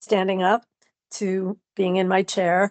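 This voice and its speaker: Against a quiet background, a woman speaks at medium pitch in a dry, close sound with no echo. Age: 60s. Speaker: dancer and writer with multiple sclerosis. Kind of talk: interview.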